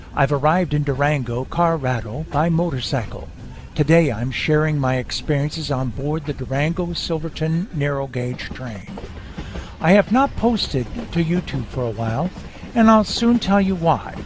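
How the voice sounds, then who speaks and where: A man's fairly high voice with an American accent, lively intonation and a moderate pace, over noticeable background noise. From Iowa, US Midwest. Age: 60s. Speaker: motorcycle travel vlogger. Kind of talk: scripted narration.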